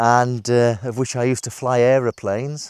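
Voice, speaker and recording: A man with a British accent talks at a moderate pace and a medium pitch. The recording is very clean, with a silent background. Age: 50s. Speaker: IT manager vlogging about redundancy. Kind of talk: casual vlog monologue. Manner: halting, many fillers.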